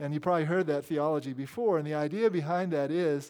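A man with an unremarkable speaking voice talks at a fairly quick pace in a fairly high pitch, with ordinary pitch variation. The recording is very clean, with a silent background. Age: 60s. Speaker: priest. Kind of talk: sermon.

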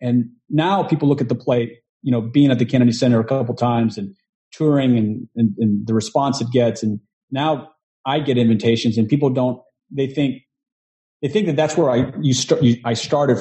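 A man talks at a fairly quick pace and medium pitch. His voice is somewhat breathy, with ordinary pitch variation. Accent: American. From Texas, Houston. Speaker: actor and producer. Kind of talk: interview.

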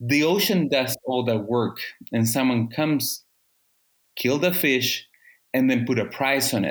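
A man with a Spanish accent talks at a medium pitch and a fairly slow pace, leaving long, frequent pauses. His pitch varies in an ordinary way while his loudness stays very even. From Chile. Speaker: ocean policy expert. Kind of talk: casual interview. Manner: halting.

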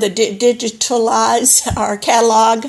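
A woman with a Southern US accent speaks at a fairly slow pace, her fairly high voice held in a fairly even intonation. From Alabama, US South. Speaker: church member, retired teacher. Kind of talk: casual chat. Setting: remote call. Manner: halting.

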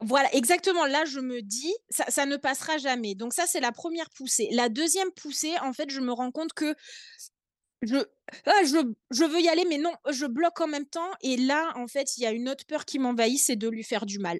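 A woman at a high pitch with lively intonation and a moderate pace, dry and close with no echo, over a quiet background. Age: 30s. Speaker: young mother with endometriosis. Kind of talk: casual interview.

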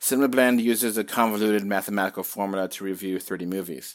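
A man with a plain, everyday voice speaks at a fairly quick pace and a fairly low pitch, with ordinary pitch variation. The recording is very clean, with a silent background. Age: 40s. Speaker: podcaster and website owner. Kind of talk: solo monologue reading his own farewell article.

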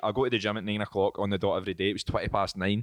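A man with a Scottish accent talks at a very fast pace in a dry, close sound with no echo and a quiet background. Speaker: podcast host. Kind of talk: casual chat.

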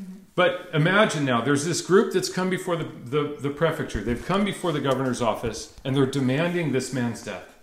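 With noticeable background noise behind him, a man with a fairly high pitch speaks at a moderate pace with lively intonation and hardly any pauses. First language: English (speaking French). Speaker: pastor. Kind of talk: sermon preached in English with live interpretation. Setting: church.

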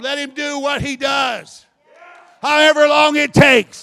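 A man shouts in an animated tone at an extremely high pitch. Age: 50s. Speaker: preacher. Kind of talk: sermon.

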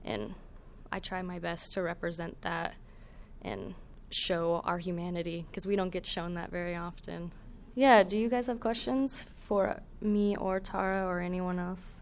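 In an ordinary speaking voice, a woman talks at a fairly slow pace and medium pitch with ordinary pitch variation. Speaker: video maker and visual storyteller. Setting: live event with audience.

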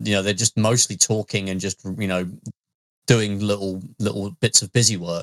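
A man with an East Midlands accent, his voice fairly low-pitched, the sound dry and close with no echo. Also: fairly even intonation, moderate pace. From Leicester, English Midlands. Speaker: podcast co-host. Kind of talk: casual chat.

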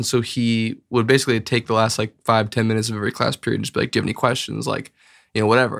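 A man's medium-pitched voice with an Upper Midwest accent, on a very clean recording with a silent background. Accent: Upper Midwest American. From Bismarck, North Dakota. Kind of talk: casual chat.

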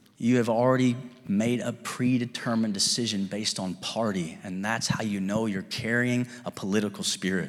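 In a Kentucky accent, a man speaks at a moderate pace in an animated tone. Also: medium pitch for a man, ordinary pitch variation. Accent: Southern US (Kentucky). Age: 30s. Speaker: pastor. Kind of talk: sermon. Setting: church with live congregation. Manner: animated, fervent preacher in full flow, urging the congregation to respond with amens.

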